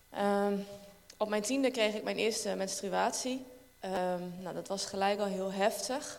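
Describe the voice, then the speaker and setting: A woman at medium pitch with fairly even intonation, speaking at a fairly slow pace with long, frequent pauses, amid audible room echo and noticeable background noise. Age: 30s. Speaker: church member. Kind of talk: testimony. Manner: halting.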